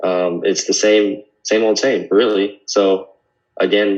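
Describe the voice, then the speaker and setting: Here a man speaks with an American accent. His fairly low voice stays monotone and flat. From California, Sacramento. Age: 20s. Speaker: podcast guest. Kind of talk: casual chat.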